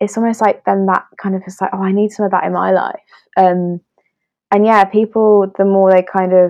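A woman with a British accent, medium pitch, moderate pace and monotone, flat intonation. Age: 20s. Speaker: illustrator and wedding creative. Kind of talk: casual chat. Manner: hesitant, many fillers and laughs.

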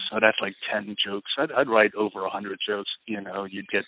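An unremarkable speaking voice belongs to this man, who talks at a fairly quick pace and a fairly low pitch with an American accent. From United States. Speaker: comedian and political joke writer. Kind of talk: casual interview. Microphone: poor audio quality.

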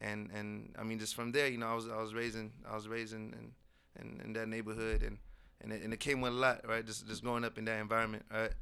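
In a room with audible echo, a man with a medium pitch and a bright, sharp tone talks very fast in a flat monotone. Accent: American. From South Seattle. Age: young. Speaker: hip-hop artist and spoken word poet. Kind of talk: casual interview.

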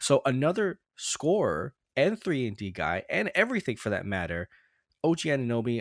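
The recording of this man at medium pitch is dry and close, with no echo. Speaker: podcast host, Raptors fan. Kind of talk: casual sports chat podcast. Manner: casual, chatty, warm.

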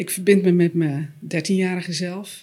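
The voice is somewhat breathy, with a moderate pace and ordinary pitch variation. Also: woman. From Netherlands, West-Friesland. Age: 40s. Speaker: author and systemic coach. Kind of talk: podcast interview.

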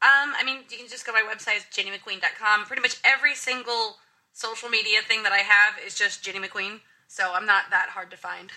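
A plain, everyday voice with ordinary pitch variation. Its loudness swings widely from moment to moment. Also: woman, fairly high pitch for a woman, fairly quick pace. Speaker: YouTuber. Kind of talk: casual panel discussion.

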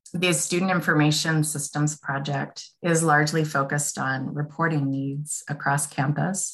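Monotone, flat intonation at a moderate pace, somewhat breathy, with hardly any pauses. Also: woman, very deep, low pitch for a woman. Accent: American. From Washington State. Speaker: business systems analyst. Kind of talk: interview.

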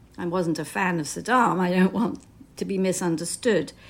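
A woman with a British accent at a moderate pace, with ordinary pitch variation. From Britain. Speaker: novelist. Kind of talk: interview.

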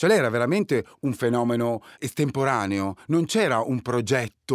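A man talks in a plain, everyday voice at medium pitch and a fairly quick pace, with ordinary pitch variation. The very clean recording has a silent background and a dry, close sound with no echo. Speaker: writer and DJ. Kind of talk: casual chat.

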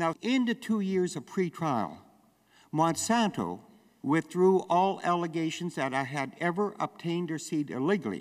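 Speaking with a Canadian prairie accent, a man uses a high pitch and lively intonation at a moderate pace. The recording is very clean, with a silent background. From Western Canada. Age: 70s. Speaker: farmer and activist. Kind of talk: speech. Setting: stage with audience.

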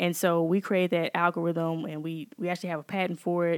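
A woman speaks in a Mississippi accent, the sound dry and close with no echo. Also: very clean recording, silent background. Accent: US Southern (Mississippi). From Jackson, Mississippi. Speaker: computer scientist and tech founder. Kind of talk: interview conversation.

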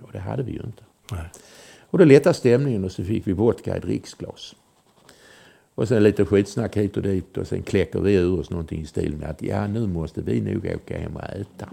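A man with a fairly low, dark, mellow voice and vocal fry talks at a fairly quick pace with lively intonation and big swings in loudness. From southern Sweden, Malmö. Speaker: former intelligence agent. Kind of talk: storytelling interview. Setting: at home.

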